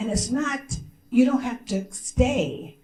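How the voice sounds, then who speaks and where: A woman with an American accent at a very slow pace, with audible room echo. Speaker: diplomat. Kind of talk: press conference speech. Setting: press conference at a consulate. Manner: animated.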